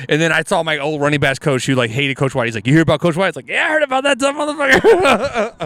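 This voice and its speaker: Talking at a very fast pace in an American accent, a man uses a fairly high pitch, very wide pitch swings and an animated tone. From Houston, Texas (Alief). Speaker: comedian. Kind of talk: casual chat.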